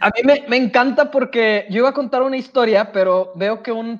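A man speaks with a Mexican accent against noticeable background noise. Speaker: podcast co-host. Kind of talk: casual chat.

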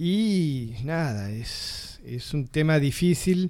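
A man's fairly high-pitched voice with a dark, mellow tone, lively intonation and a very slow pace, on a very clean recording with a silent background. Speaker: radio host. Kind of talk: radio talk show.

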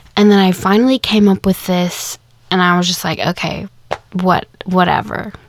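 An unremarkable speaking voice belongs to a woman with an American accent. Her pitch is medium, and her pace is moderate. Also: fairly even intonation. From Kansas, US. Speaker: podcast host. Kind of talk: casual monologue. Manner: casual, with fillers.

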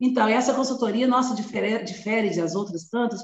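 With a normal speaking voice, a woman speaks fairly quickly at a fairly high pitch with ordinary pitch variation. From Brazil, Belo Horizonte, Minas Gerais. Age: 50s. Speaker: educator and anti-racism activist. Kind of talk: interview conversation.

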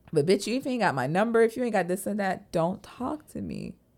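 A woman with an American accent and lively intonation, music in the background. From Florida. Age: 20s. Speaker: podcast co-host. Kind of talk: casual chat.

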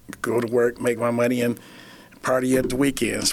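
At a fairly quick pace, a man speaks at medium pitch. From Flint, Michigan. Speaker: kitchen director at a rescue mission, former addict. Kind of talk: interview testimony.

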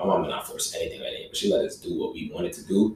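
Noticeable background noise runs throughout. Over it, a man talks very fast. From Barbados. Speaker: podcast guest. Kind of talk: casual chat.

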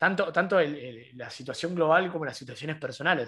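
A man speaks with a Rioplatense accent against a quiet background. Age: 20s. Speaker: podcast co-host, university student. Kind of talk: casual chat.

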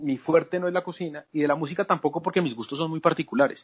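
This is a man speaking at a high pitch. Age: 40s. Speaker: journalist. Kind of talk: interview. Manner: halting, frequent repetitions.

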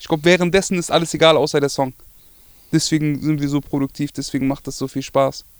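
A man's fairly high-pitched voice with a dry, close sound and no echo. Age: 20s. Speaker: rapper. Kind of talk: interview. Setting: studio.

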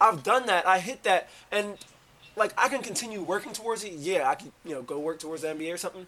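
This man talks at a very fast pace in a raised, projected voice, high-pitched and bright and sharp in tone. His intonation is lively, and his loudness swings widely. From Washington, D.C. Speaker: former professional basketball player. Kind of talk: casual interview.

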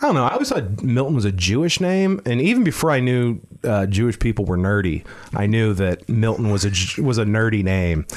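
Using a normal speaking voice with an American accent, a man talks at a fairly quick pace and medium pitch, his intonation lively and his loudness very even. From Pittsburgh, Pennsylvania. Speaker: stand-up comedian. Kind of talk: casual chat.

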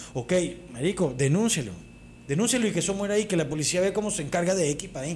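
A man in a Caracas accent, very fast, with lively intonation. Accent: Venezuelan Spanish (Caracas). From Venezuela. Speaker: comedy podcast co-host. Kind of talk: casual chat.

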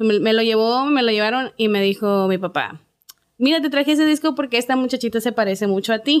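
On a very clean recording with a silent background, the delivery runs at a fairly quick pace. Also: woman. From Ciudad Juárez, Chihuahua, Mexico. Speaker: singer. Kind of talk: interview.

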